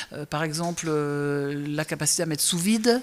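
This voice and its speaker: Here a woman is talking. The rise and fall of her pitch is ordinary. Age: 60s. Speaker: restaurant chef and owner. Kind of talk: interview. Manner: hesitant, many fillers.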